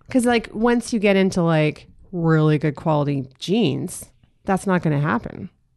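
With an animated tone and lively intonation, a woman speaks at a fairly low pitch and moderate pace, her loudness very even over a quiet background. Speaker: podcast guest. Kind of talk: casual comedic chat. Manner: animated, joking.

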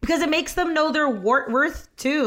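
A woman with a Canadian accent speaks at a fairly quick pace in a bright, sharp, animated tone, on a very clean recording with a silent background. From Canada. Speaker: podcast host, comedic actress. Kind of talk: casual chat.

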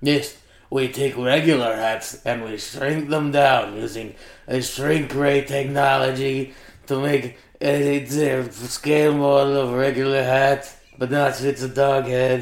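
Using a put-on character voice, a man talks at medium pitch in a monotone, flat intonation. His pace is fairly slow, and there is a slight echo. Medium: stage play.

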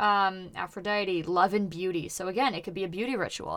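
A woman's plain, everyday voice at a medium pitch and a fairly quick pace, on a very clean recording with a silent background. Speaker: podcast host. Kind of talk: casual comedic chat. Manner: joking, interrupting, playful.

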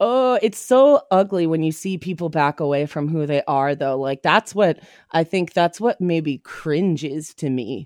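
Dry and close with no echo, a woman with an unremarkable speaking voice uses lively intonation and hardly any pauses. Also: fairly low pitch for a woman, fairly slow pace. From Ontario, Canada (Whitby, Toronto suburb). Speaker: comedian. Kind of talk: casual chat. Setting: video call.

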